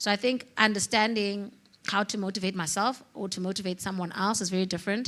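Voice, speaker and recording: At a very fast pace, a woman speaks in a medium pitch with fairly even intonation. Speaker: entrepreneur, hair product brand founder. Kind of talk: panel discussion.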